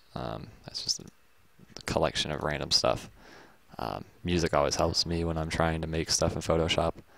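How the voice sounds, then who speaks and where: A man with a very deep, low voice and vocal fry talks at a moderate pace. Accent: American. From Texas. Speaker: graphics tutorial youtuber. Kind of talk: casual rant while working. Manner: hesitant, lots of fillers.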